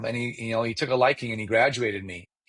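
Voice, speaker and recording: A man with an Iranian accent talks at a very fast pace. His pitch is medium. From Iranian family, grew up in Chicago area. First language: Farsi. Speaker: mortgage loan officer. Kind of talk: interview storytelling. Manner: animated.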